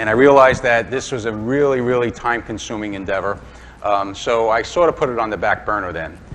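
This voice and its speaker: A man with a New York accent at a very fast pace, over noticeable background noise. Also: medium pitch for a man, ordinary pitch variation. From Brooklyn, New York. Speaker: woodturning demonstrator. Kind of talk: live demonstration talk. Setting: club demonstration before live audience. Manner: casual, hesitant with fillers.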